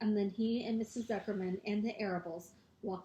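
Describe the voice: Fairly even intonation in plain reading aloud.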